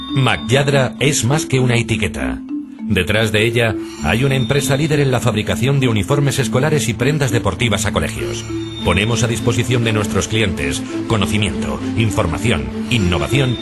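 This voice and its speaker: Loud music plays in the background as a man talks at a moderate pace. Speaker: professional voice actor and radio announcer. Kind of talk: corporate narration. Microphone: studio mic.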